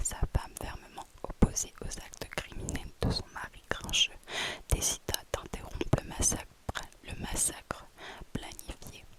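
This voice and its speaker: A woman whispers at a fairly slow pace with long, frequent pauses and big swings in loudness. Noticeable background noise runs behind her. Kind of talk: horror story narration in whisper. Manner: whispered, close to the microphone.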